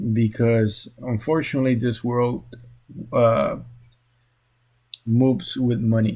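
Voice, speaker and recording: In a medium-pitched, dark and mellow voice that is somewhat breathy, a man speaks at a fairly slow pace. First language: Spanish. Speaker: social work graduate student. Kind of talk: class presentation. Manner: halting, many fillers.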